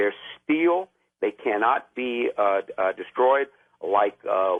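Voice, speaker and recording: A man talks at a medium pitch. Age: 60s. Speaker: caller, military veteran. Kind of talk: call-in radio talk. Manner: halting, many fillers.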